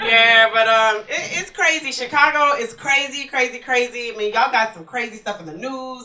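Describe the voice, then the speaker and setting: Over noticeable background noise, a woman with an American accent and high pitch talks at a fairly quick pace, showing ordinary pitch variation and big swings in loudness. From Texas, Houston. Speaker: stand-up comedian. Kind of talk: stand-up. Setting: stage with audience.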